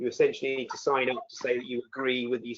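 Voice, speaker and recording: The pace is fairly quick. The speaker has a British accent. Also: man. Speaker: accreditation director at a business education association. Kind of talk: webinar presentation. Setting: online webinar.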